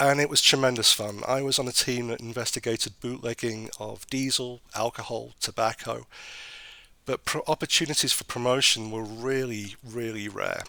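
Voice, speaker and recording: Speaking at a moderate pace with a British accent, the man has a medium pitch, a bright, sharp tone and fairly even intonation. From northern England, Sheffield. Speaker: government regulator. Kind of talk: interview.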